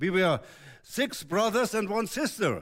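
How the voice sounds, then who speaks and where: A man speaks at a fairly slow pace with a German accent and a high pitch. The recording is very clean, with a silent background. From Germany. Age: 80s. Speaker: visiting preacher. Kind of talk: sermon. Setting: church. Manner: halting.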